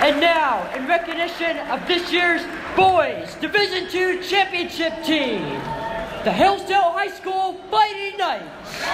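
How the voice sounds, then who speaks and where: Noticeable background noise sits behind a man who talks at a very slow pace with ordinary pitch variation and an extremely high pitch. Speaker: sports broadcaster. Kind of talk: PA announcing at a high school event. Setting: PA system. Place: gym.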